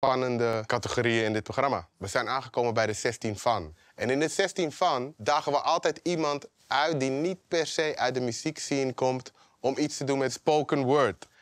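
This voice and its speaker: With hardly any pauses, a man of medium pitch speaks in a normal speaking voice at a moderate pace, using ordinary pitch variation over a quiet background. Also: dry sound with no echo. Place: stage. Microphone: lapel.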